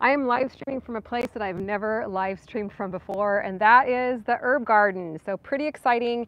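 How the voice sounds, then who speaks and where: The sound is dry, with no echo. The pace is fairly quick and the pitch varies in an ordinary way. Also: woman. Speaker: gardening channel host. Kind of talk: casual livestream chat. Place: garden. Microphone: phone near.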